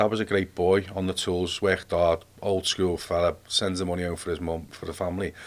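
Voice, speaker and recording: In a Liverpool accent, a man speaks with a very deep, low pitch. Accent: Liverpool (Scouse). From Liverpool, England. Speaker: army veteran. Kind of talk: casual interview. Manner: animated.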